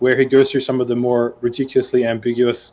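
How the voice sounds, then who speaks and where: Dark and mellow in tone, a man's medium-pitched voice moves at a fairly quick pace. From Australia. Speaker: podcast panelist, software developer. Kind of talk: casual panel discussion. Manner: hesitant, many fillers.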